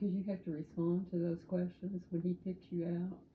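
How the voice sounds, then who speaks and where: A woman talks fairly quickly in a somewhat breathy voice with a fairly low pitch. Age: 80s+. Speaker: interviewee. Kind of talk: casual chat.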